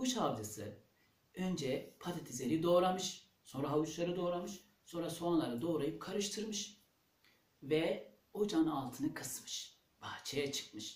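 A man's fairly slow speech, with audible room echo. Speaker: storyteller. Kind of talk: storytelling to children. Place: home room. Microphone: camera far.

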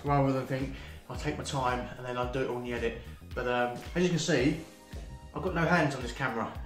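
Faint music plays behind a man who speaks at a fairly quick pace amid audible room echo. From UK. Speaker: vlogger. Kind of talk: casual talk to camera. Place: home room. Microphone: phone near.

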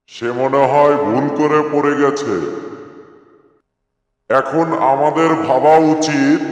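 A man uses a cartoonish character voice at a fairly high pitch and fairly slow pace. There is clear echo. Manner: self-assured, boastful.

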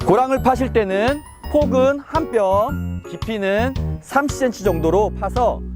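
Over music in the background, the speech comes at a very slow pace. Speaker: urban farming instructor. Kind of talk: casual instructional talk to camera. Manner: friendly, conversational.

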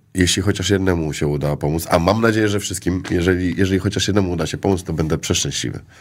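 Against a quiet background, a man with a very deep, low voice talks at a very fast pace with hardly any pauses and fairly even intonation. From Poland, Szczecin; Poland. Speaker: actor. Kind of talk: casual chat. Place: studio. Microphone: studio mic.

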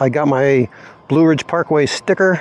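A man speaks at a fairly slow pace with ordinary pitch variation. The sound is dry, with no echo. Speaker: motorcycle travel vlogger. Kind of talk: casual vlog chat. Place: street.

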